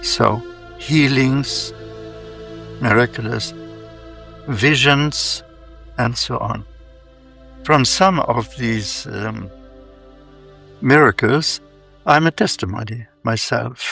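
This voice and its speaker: Speech moves at a very slow pace with long, frequent pauses while music plays in the background. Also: man. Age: 80s+. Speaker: monk. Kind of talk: interview answer. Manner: slow, reflective.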